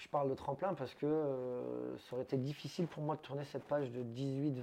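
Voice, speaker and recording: At a fairly quick pace, a man speaks in a dark, mellow tone with monotone, flat intonation. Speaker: head waiter. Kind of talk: casual interview.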